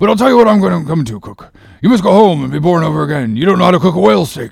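This put-on character voice races along at a very fast pace, with lively intonation and vocal fry. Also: man, high pitch for a man.

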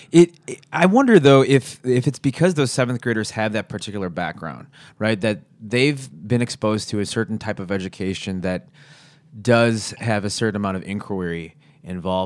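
In a plain, everyday voice, a man with a fairly low pitch uses lively intonation and big swings in loudness, captured in a very clean recording with a silent background. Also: moderate pace. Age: 30s. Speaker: podcast host and teacher. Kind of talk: casual chat. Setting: living room.

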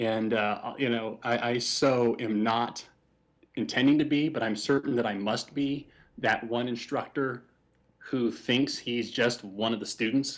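A man speaks in a normal speaking voice at a medium pitch, fairly slow, with fairly even intonation over a quiet background. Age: 30s. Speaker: comic book writer. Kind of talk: casual chat.

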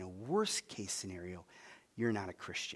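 A man with a western New York accent, fairly low in pitch, with ordinary pitch variation. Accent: Inland North American (western New York). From US, Buffalo suburbs, New York. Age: 50s. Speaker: guest preacher. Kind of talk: sermon. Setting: stage with audience.

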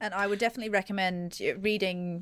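In a very clean recording with a silent background, a woman speaks at a medium pitch. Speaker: podcast guest, feminist illustrator.

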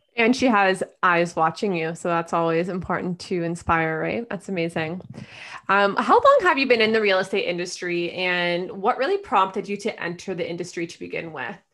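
This is a normal speaking voice from a woman at medium pitch. She keeps a moderate pace with ordinary pitch variation. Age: young. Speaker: podcast host. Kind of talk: interview.

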